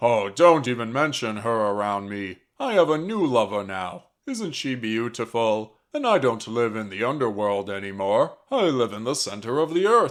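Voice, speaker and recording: At a moderate pace with hardly any pauses, a put-on character voice comes through on a very clean recording with a silent background. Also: man, medium pitch for a man. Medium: virtual streamer. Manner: creepily cheerful, possessive.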